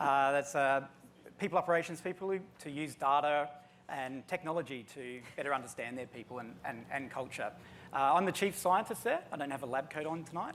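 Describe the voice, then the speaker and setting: At a fairly quick pace, a man with an Australian accent talks in a fairly high pitch with ordinary pitch variation. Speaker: chief scientist at an HR analytics company. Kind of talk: panel discussion.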